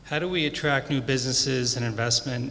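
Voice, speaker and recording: A man speaks in a medium pitch at a moderate pace with fairly even intonation. Background noise is noticeable. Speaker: property owner speaking at public comment. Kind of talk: public comment with slides. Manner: soft-spoken; halting.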